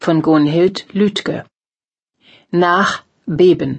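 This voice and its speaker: A woman speaks at a fairly low pitch. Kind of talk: formal news reading of headlines. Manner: formal, brisk, even-paced; neutral, announcer-like delivery.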